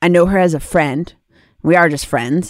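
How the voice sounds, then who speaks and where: A woman has a fairly low pitch with ordinary pitch variation. Hers is an ordinary speaking voice. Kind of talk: casual chat. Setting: video call.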